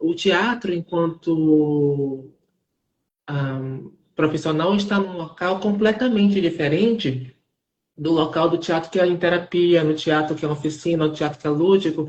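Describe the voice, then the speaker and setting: Fairly low in pitch, a woman speaks slowly-ish, at a fairly slow pace, in a plain, everyday voice with ordinary pitch variation. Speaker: theater artist. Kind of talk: live interview. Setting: online live stream. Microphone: unstable internet connection.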